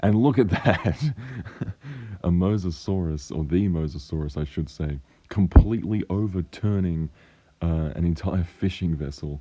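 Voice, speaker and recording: A man talks at a moderate pace in a very deep, croaky voice. His tone is dark and mellow, with ordinary pitch variation. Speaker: paleontology enthusiast. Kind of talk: film trailer breakdown commentary. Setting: cheap microphone.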